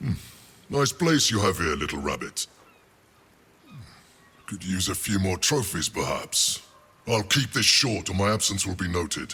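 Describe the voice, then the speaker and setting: A man uses a put-on character voice at a fairly low pitch. He keeps a moderate pace with long, frequent pauses. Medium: video game. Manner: sly, teasing.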